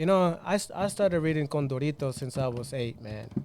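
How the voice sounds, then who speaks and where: Energetic in tone, the speaker talks with a Spanish accent at a moderate pace, using ordinary pitch variation. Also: man. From Cuban-Mexican, raised in Mexico (Los Mochis). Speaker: club hypeman. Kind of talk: casual podcast interview. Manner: energetic, code-switching.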